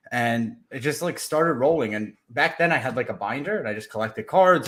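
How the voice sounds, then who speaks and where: Here a man with a plain, everyday voice talks at a fairly quick pace with lively intonation. The recording is very clean, with a silent background. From Ukraine, immigrated to US as a child. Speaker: podcast host and sports card collector. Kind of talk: casual interview.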